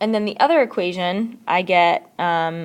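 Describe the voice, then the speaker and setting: This is a woman's voice. Her pitch is medium. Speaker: math teacher. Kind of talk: recorded lesson tutorial. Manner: fast.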